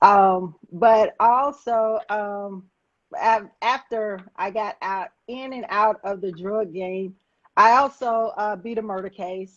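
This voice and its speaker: A woman with a Southern US accent talks very slowly in a fairly high pitch with ordinary pitch variation. Her loudness swings widely. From Alabama, Huntsville. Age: 50s. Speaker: former drug dealer turned activist. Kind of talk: interview testimony.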